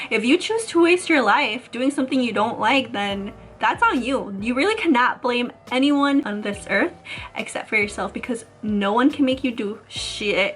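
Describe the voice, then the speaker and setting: Over noticeable background noise, a woman with an American accent speaks in an animated tone at a high pitch and moderate pace. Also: ordinary pitch variation. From US Midwest, Chicago suburbs (Illinois). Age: 20s. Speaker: YouTuber. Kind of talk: casual vlog talk.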